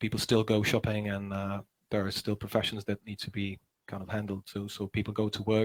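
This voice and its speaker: A man with a Czech accent speaks at a fairly quick pace. His voice sounds dry and close, with no echo. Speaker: musician and teacher. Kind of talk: casual chat. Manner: halting.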